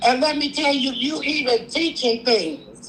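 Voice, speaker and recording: Noticeable background noise surrounds a woman with a high pitch. She talks at a fairly slow pace with ordinary pitch variation. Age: 60s. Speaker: caller. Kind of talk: live call-in chat.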